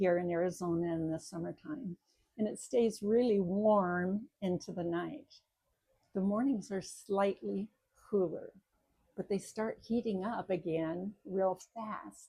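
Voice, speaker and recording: A woman talks at a very slow pace, her pitch medium. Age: 70s. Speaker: retiree and author. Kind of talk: casual talk to camera.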